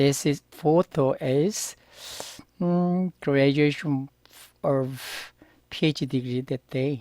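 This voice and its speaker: A man with a Korean accent, fairly high in pitch, very slow and with long, frequent pauses, fairly even in intonation, dry and close with no echo, on a very clean recording with a silent background. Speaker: Korean language teacher. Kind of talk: tutorial. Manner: halting.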